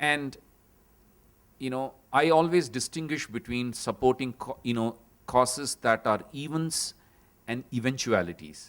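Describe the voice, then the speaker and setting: With a Tamil accent, a man speaks at medium pitch and a fairly slow pace, with ordinary pitch variation and long, frequent pauses. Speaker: panel moderator. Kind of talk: panel discussion summary. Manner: halting.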